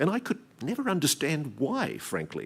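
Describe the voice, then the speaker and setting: On a very clean recording with a silent background, a man talks with an Australian accent. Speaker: investigative journalist. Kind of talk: keynote speech.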